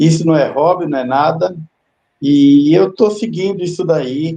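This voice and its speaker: This voice has a dark, mellow tone, ordinary pitch variation and a fairly slow pace. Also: man. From São Paulo east zone, Brazil. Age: 70s. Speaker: tree planter, retired executive. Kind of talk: interview.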